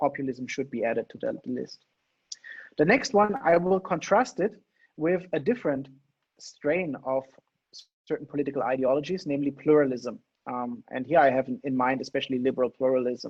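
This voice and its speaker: Fairly quick speech from a man with a fairly high pitch and ordinary pitch variation, broken by long, frequent pauses. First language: not English. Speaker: political theory lecturer. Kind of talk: lecture. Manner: fast.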